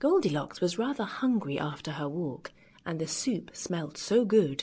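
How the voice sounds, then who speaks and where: A woman speaks in a warm, somewhat breathy tone. Her pitch swings very widely over a quiet background. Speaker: audiobook narrator. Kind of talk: children's fairy tale audiobook narration. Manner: warm, lively.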